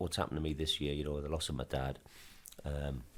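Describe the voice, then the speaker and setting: Vocal fry runs through this man's very deep, low voice. He talks at a fairly quick pace. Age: 60s. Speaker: football club chairman and businessman. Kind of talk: podcast interview. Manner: halting.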